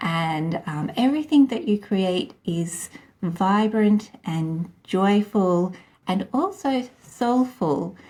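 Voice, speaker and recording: In an Australian accent, a woman speaks at a very slow pace with lively intonation. Her tone is dark and mellow and somewhat breathy. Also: medium pitch for a woman. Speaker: podcast host. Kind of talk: interview.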